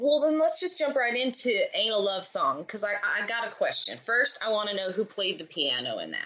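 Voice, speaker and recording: A woman talks rather quickly while clear background noise fills the recording. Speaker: podcast host. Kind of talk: interview question.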